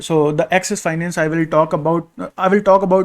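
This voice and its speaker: In a very clean recording with a silent background, a man speaks at a moderate pace in a high pitch with monotone, flat intonation. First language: not English. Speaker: crypto security auditor and video creator. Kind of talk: casual tutorial-style vlog. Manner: halting, many fillers.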